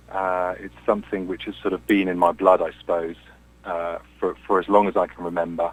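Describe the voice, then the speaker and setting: A man speaks with an English accent. His voice is fairly low in pitch. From England, Cambridge. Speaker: singer-songwriter and session musician. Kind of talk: radio interview.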